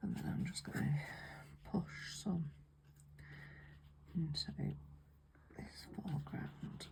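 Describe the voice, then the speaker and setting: Someone with a British accent talks at a very slow pace, leaving long, frequent pauses. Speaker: watercolour painting teacher. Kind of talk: tutorial. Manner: soft-spoken; whispering.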